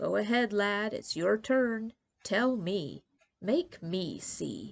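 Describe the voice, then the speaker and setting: Lively intonation in a woman's put-on character voice, medium-pitched and very slow. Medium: read story. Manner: soft-spoken, murmuring to himself.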